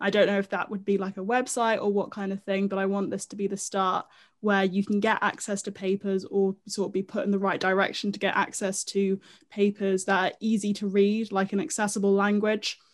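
On a very clean recording with a silent background, a woman talks fairly quickly. Her medium-pitched voice stays monotone and flat. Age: 20s. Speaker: music industry specialist and podcaster. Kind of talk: interview.

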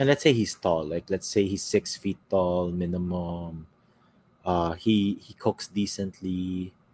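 A man talks at a fairly slow pace. His pitch is very deep and low, with ordinary pitch variation. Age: 30s. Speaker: podcast host. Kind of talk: casual chat.

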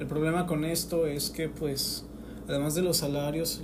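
A man's fairly high, monotone, flat voice at a fairly slow pace, with audible room echo and noticeable background noise. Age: 20s. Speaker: podcaster, unemployed graduate. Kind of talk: personal monologue.

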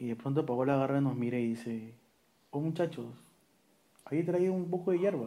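In a room with audible echo, a man speaks with a dark, mellow tone and lively intonation. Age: 30s. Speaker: podcast co-host. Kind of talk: casual chat.

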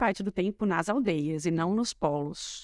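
Talking at a fairly slow pace, a woman uses an unremarkable speaking voice with ordinary pitch variation. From interior of São Paulo state, Matão. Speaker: rural tourism owner, trained dentist. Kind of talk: casual interview chat.

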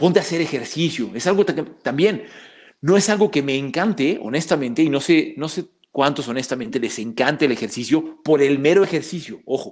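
The recording is very clean, and the background is silent. An ordinary speaking voice carries lively intonation at a moderate pace. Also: man, fairly high pitch for a man. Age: 30s. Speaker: psychologist and martial arts teacher. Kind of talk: casual interview.

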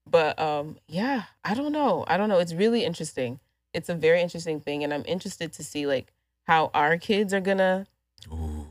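In a very clean recording with a silent background, a woman with an American accent talks at a fairly quick pace. She has an unremarkable speaking voice, fairly low in pitch, with lively intonation. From Houston, Texas. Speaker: photographer. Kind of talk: casual chat.

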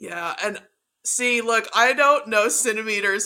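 A woman speaks at a fairly slow pace with lively intonation. Her tone is bright and sharp. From Texas. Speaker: guest, motorsport fan. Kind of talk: casual chat.

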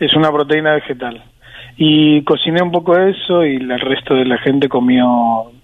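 A man with an ordinary speaking voice, a fairly slow pace and ordinary pitch variation. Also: fairly high pitch for a man. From Argentina. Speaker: sports journalist and author. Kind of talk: interview.

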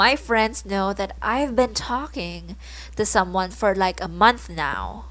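On a very clean recording with a silent background, a woman speaks at a very slow pace in a Filipino accent. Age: 20s. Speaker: podcast host, college student. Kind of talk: casual solo podcast talk, code-switching English and Tagalog.

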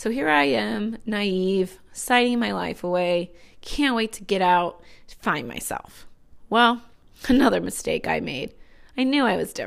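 A woman with an American accent, medium pitch, very wide pitch swings and a fairly slow pace, on a very clean recording with a silent background. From US Midwest, Northwest Indiana. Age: 30s. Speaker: teacher, podcast host. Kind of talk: casual personal monologue.

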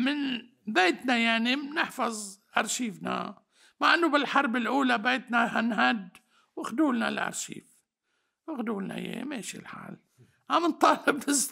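Raising and projecting his voice, a man with an extremely high pitch and a bright, sharp tone speaks at a moderate pace, with ordinary pitch variation and big swings in loudness. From Lebanon, Batroun area. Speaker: historian. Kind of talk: interview. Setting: mountain village home.

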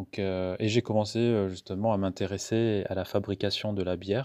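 A man speaks with a very deep, low pitch and a dark, mellow tone. His intonation stays monotone and flat over a very clean recording with a silent background. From Madagascar. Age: 30s. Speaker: craft beer entrepreneur. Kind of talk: interview. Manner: halting.

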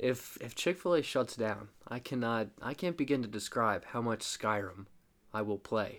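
A man's ordinary speaking voice, medium in pitch and moderate in pace, in a very clean recording with a silent background. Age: 20s. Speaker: podcast co-host. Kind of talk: casual chat.

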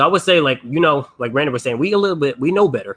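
A man's ordinary pitch variation goes with his very fast pace. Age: 20s. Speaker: podcast host. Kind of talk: casual chat.

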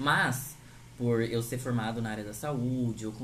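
A man speaks, and audible room echo surrounds his voice. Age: 20s. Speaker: podcast host. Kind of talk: casual chat.

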